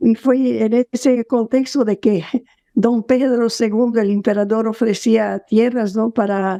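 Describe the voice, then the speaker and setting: At a fairly slow pace, a woman speaks with a fairly high pitch and a dark, mellow tone. Her intonation stays fairly even, her loudness very even, and the sound dry and close with no echo. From southern Brazil, Caxias do Sul. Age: 80s+. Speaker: sociologist and author. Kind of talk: interview.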